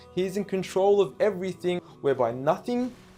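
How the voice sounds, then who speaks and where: Lively intonation and a moderate pace mark a man's speech as music plays behind him. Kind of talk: spoken word poetry.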